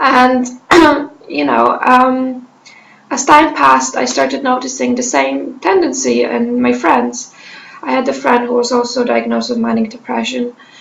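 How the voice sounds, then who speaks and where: Audible room echo colors the recording. The woman speaks at a moderate pace. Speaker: mental health vlogger. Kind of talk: personal testimony. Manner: halting with many fillers.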